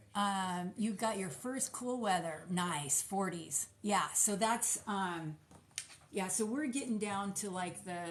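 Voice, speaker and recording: A very slow pace in a Californian accent over noticeable background noise. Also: woman, medium pitch for a woman, ordinary pitch variation. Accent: General American (Californian). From California, with childhood in US Midwest. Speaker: small business owner, soap maker. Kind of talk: casual livestream chat while packing orders.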